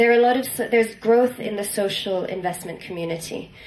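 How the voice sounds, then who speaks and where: A woman talks at a medium pitch with fairly even intonation. The room echoes audibly, and background noise is noticeable. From Italy. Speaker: social entrepreneur. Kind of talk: conference talk.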